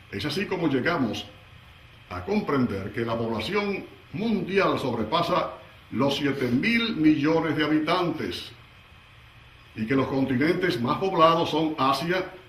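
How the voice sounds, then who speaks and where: Against noticeable background noise, a man with a fairly high pitch talks at a fairly slow pace, with lively intonation and long, frequent pauses. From Dominican Republic. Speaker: radio announcer. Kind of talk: lecture.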